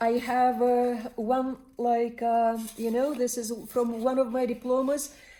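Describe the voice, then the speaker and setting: In a Turkmen accent, a woman speaks with a high pitch and a dark, mellow tone, her intonation flat and monotone. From Turkmenistan. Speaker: spiritual counselor and body worker. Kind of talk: personal monologue. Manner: hesitant, many fillers.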